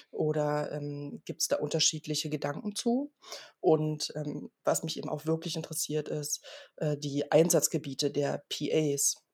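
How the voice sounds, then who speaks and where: A woman talks at a fairly slow pace in a very deep, low pitch, somewhat breathy, with ordinary pitch variation. The sound is dry and close, with no echo. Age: 40s. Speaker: trauma surgeon. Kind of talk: interview.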